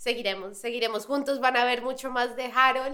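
At a moderate pace, a woman speaks with a high pitch and a bright, sharp tone. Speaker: podcast host. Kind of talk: casual interview. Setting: studio.

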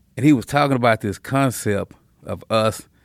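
A man with an American accent and a normal speaking voice, at a fairly quick pace with ordinary pitch variation, in a very clean recording with a silent background. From South Dallas, Texas. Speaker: community leader, former gang member. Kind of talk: interview conversation.

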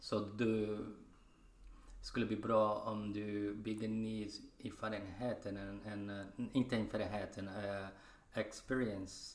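A man with a fairly low voice speaks at a very slow pace, his intonation flat and monotone. There is audible echo from the room. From Brazil. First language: Portuguese (speaking Swedish). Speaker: spinal cord injury survivor, podcast member. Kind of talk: casual chat. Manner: halting, with fillers.

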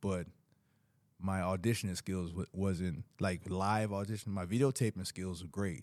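With an American accent, a man speaks in an unremarkable speaking voice with fairly even intonation. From US South. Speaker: boxer and actor.

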